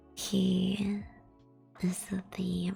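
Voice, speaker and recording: Music plays in the background under speech at a very slow pace. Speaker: VTuber ASMR streamer. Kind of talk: ASMR short story reading. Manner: whispered.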